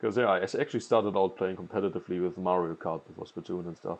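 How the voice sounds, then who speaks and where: A man with a strong German accent and ordinary pitch variation. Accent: thick German. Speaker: gaming commentator and pro player. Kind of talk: gameplay commentary. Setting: recording voiceover while watching gameplay.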